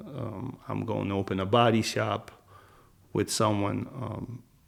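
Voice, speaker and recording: Using fairly even intonation, a man speaks with a fairly low pitch and vocal fry. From Philadelphia, US (moved from Minsk, Belarus at 9). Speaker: former prisoner turned real estate investor. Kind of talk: interview conversation.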